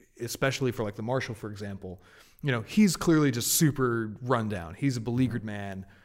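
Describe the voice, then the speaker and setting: With a normal speaking voice, a man with an American accent speaks at a moderate pace and a medium pitch, using ordinary pitch variation, in a very clean recording with a silent background. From Massachusetts (Martha's Vineyard). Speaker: video game journalist. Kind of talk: casual chat.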